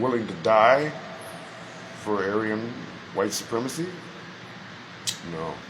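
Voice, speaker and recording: A man with an American accent speaks at a medium pitch, with audible room echo and noticeable background noise. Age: 60s. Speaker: chaplain. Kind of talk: monologue to camera.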